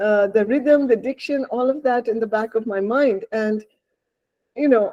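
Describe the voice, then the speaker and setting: A woman speaks in a Bengali accent at a fairly slow pace. Her fairly high voice has a dark, mellow tone and fairly even intonation. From India, Bengal. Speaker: novelist. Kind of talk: interview.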